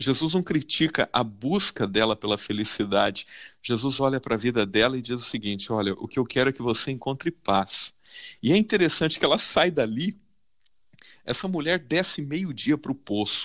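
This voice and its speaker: This man has an unremarkable speaking voice, medium in pitch, with lively intonation at a moderate pace. The recording is very clean, with a silent background. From Brazil, São Paulo (south zone). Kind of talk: Bible study discussion.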